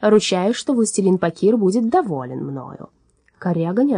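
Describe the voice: Lively intonation in plain reading aloud, with a quiet background.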